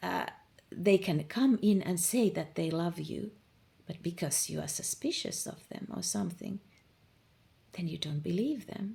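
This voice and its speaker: A woman with a fairly low pitch and vocal fry speaks at a fairly slow pace with long, frequent pauses, her tone dark and mellow and her intonation lively. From Finland. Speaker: manifestation coach. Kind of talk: informal monologue, coaching talk. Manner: casual, with fillers and repetitions.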